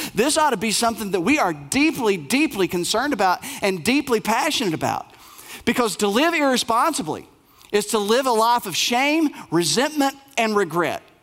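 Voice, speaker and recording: The voice carries an Appalachian accent. It moves at a moderate pace. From Appalachia, Bell County, Kentucky. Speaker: pastor. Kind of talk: sermon.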